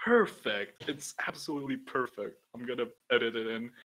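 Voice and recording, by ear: Lively intonation at a moderate pace, with a fairly bright tone. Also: man, medium pitch for a man.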